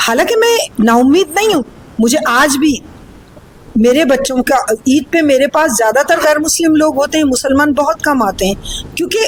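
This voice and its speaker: Very wide pitch swings from a female speaker, with noticeable noise in the background. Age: 70s. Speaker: politician. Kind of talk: interview. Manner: animated.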